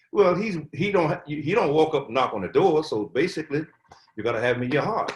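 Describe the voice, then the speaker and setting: A man's very rapid, somewhat breathy delivery with very wide swings in pitch. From US South, Atlanta, Georgia. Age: 80s+. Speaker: Covid survivor, elder. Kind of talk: interview. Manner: halting, repetitive.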